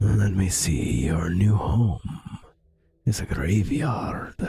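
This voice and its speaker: Very slow and raspy, this put-on character voice has very wide pitch swings. The delivery is drawn out throughout. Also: man, fairly low pitch for a man. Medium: game stream. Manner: calm, reassuring.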